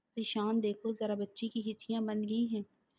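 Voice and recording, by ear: The recording is reading aloud in a natural voice.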